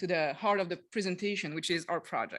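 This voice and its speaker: Speaking with a Quebec accent, a woman uses a medium pitch with ordinary pitch variation. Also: quiet background. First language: French. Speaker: tourism development officer. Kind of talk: conference presentation. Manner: halting, many fillers.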